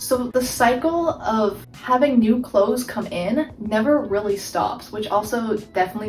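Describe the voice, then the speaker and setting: Over music in the background, a woman with a fairly high pitch talks at a moderate pace with lively intonation. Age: 19. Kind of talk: casual talk to camera. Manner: shy, stutters.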